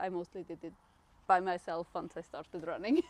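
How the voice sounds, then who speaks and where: A woman with a Swiss German accent at a moderate pace, in a dry, close sound with no echo. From Switzerland. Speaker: long-distance runner. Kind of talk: podcast interview. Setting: outdoors.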